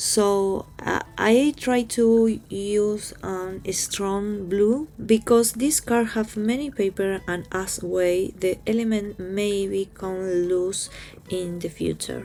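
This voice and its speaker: A woman with a Spanish accent speaks at medium pitch with ordinary pitch variation. She goes at a very slow pace with hardly any pauses, over noticeable background noise. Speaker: crafts youtuber. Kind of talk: tutorial. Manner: halting.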